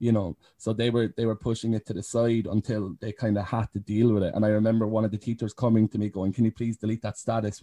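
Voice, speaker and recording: Speaking fairly quickly in a Cork accent, a man has a dark, mellow tone at a medium pitch, with a dry, close sound and no echo. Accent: Cork Irish. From Ireland, County Cork. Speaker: care leaver and youth advocate. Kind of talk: casual interview. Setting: video call.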